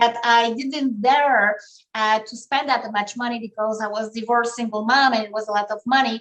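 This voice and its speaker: A woman's fairly high voice at a moderate pace. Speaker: realtor. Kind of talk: interview. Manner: energetic.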